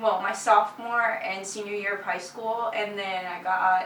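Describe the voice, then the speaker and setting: A woman with a Spanish accent, amid noticeable background noise and audible room echo. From Puerto Rico. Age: 20s. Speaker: college student. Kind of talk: interview.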